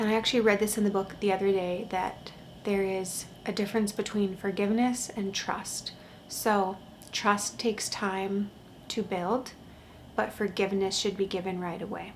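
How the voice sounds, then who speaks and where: A woman speaks softly in a calm tone at a medium pitch. Her intonation is monotone and flat. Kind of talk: casual vlog talk. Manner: very quiet, soft-spoken; slow, calm.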